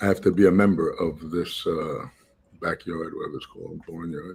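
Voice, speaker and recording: A man is speaking with an American accent. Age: 60s. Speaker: technologist and political campaign advisor. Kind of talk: conference talk, casual self-introduction. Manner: halting, many fillers.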